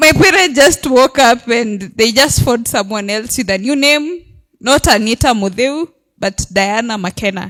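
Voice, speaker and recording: In a Kenyan accent, a woman speaks at a moderate pace with a fairly high pitch and lively intonation. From Kenya, Makueni then Meru. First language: Kamba. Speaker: audience member sharing a story. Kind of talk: audience testimony at event.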